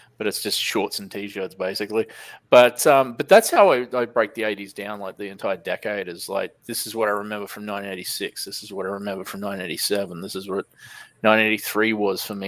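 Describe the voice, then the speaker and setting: On a very clean recording with a silent background, the voice moves at a fairly quick pace with an Australian accent and big swings in loudness. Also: man. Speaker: comic shop owner and YouTuber. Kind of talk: casual chat.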